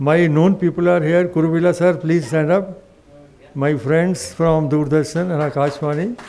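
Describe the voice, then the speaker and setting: A man's high pitch comes through noticeable background noise as he speaks at a moderate pace. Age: 70s. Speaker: retired broadcast engineer and media professor. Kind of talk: impromptu speech to audience. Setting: stage with audience.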